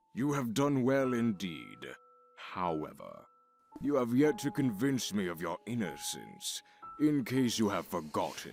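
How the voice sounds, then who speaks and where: In a put-on character voice, a man speaks at a medium pitch and fairly slow pace with very wide pitch swings over faint background music. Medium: video game. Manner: cold, condescending, deliberate.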